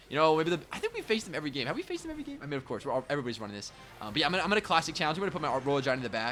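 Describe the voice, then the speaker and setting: With an animated tone and a fairly high pitch, a man speaks over noticeable background noise. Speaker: gaming YouTuber. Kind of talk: gameplay commentary. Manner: fast.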